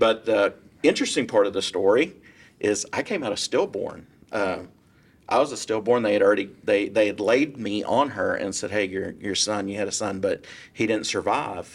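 Recorded very cleanly with a silent background, a man speaks at a moderate pace and a fairly low pitch with ordinary pitch variation. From South Texas. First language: Spanish. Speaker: real estate broker. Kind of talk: interview. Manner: animated.

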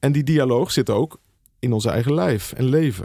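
A man speaks at a moderate pace in a dark, mellow tone with medium pitch. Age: 50s. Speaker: pastor and author. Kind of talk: casual interview. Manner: earnest; halting, many repetitions.

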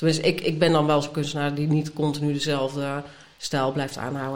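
A woman speaks with a very deep, low pitch at a moderate pace. Her intonation is monotone and flat. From Brabant, Netherlands. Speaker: artist and art teacher. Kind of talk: casual interview. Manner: halting, many fillers.

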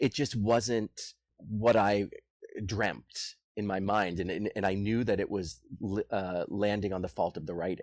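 An ordinary speaking voice carries an American accent. It moves at a fairly slow pace with fairly even intonation. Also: man, fairly low pitch for a man. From US, Boston. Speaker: musical theatre composer. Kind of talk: casual interview.

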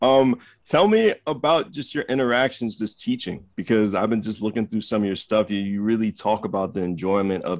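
Against a quiet background, a man with an unremarkable speaking voice talks at a fairly quick pace with ordinary pitch variation. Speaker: radio co-host. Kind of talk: casual interview chat. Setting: radio studio.

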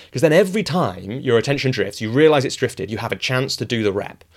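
A man with a Yorkshire accent, very fast and animated, at a medium pitch with lively intonation, on a very clean recording with a silent background. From northern England, rural Yorkshire. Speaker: author and coach. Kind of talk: interview conversation.

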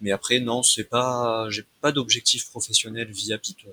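The recording of this man's medium-pitched voice has a dry, close sound with no echo. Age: 20s. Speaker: computer science student and former substitute math teacher. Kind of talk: casual interview. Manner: halting.

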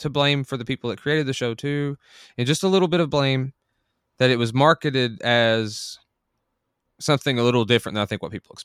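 A man with a normal speaking voice at medium pitch talks at a fairly quick pace, in a dry, close sound with no echo on a very clean recording with a silent background. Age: 30s. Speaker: podcast co-host. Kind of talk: casual chat.

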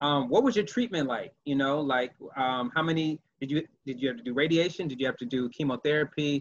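A man with an unremarkable speaking voice talks at a fairly quick pace. His pitch is fairly high, with ordinary pitch variation. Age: 30s. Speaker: podcast host and cancer survivor. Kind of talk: casual interview.

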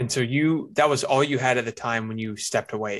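A man talks in a normal speaking voice. He goes at a fairly quick pace with fairly even intonation. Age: 20s. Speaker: podcast host, newsletter writer. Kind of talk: interview.

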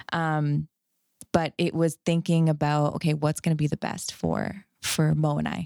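In a dry, close sound with no echo and a very clean, silent background, a woman speaks fairly slowly in a very deep, low voice with a dark, mellow tone and monotone, flat intonation. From Canada. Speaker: chiropractor. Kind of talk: casual chat.

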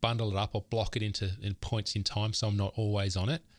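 A man's fairly low voice at a fairly quick pace, in a very clean recording with a silent background and a dry, close sound with no echo. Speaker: podcast co-host, software founder. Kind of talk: casual chat. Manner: fast.

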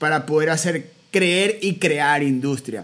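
The background is silent on this very clean recording. On it, a man talks with fairly even intonation. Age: 30s. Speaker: podcast host and musician. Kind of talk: interview conversation.

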